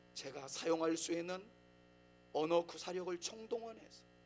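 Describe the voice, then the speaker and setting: A man speaks at a fairly slow pace with music playing in the background. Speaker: pastor. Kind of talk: sermon. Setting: church.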